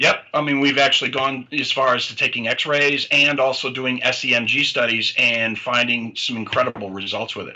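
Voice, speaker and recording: A man with a plain, everyday voice and an American accent talks at a moderate pace with hardly any pauses, his medium pitch fairly even in intonation while his loudness swings widely. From US Midwest, Detroit. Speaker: chiropractor. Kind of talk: interview.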